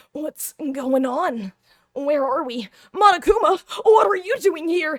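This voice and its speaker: A woman's put-on character voice, high in pitch, with very wide pitch swings and a fairly slow pace. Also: big swings in loudness. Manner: earnest, bewildered.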